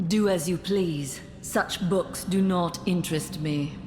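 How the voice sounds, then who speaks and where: Someone puts on a character voice at a middle pitch. The pace is fairly slow over clear background noise. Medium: video game. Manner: detached, flat.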